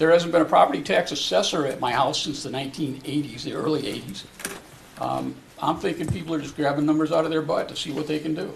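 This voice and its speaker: Audible room echo and noticeable background noise surround a man talking very fast. His pitch is fairly high, with fairly even intonation. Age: 70s. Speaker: resident speaking at open forum. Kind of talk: public comment at council meeting. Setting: city council meeting.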